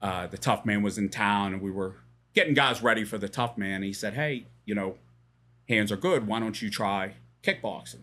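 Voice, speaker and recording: Here is a man with an unremarkable speaking voice and an American accent. His pitch is fairly low, his pace moderate, and the recording is very clean with a silent background. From Pittsburgh, Pennsylvania. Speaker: boxing and MMA coach. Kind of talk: casual chat.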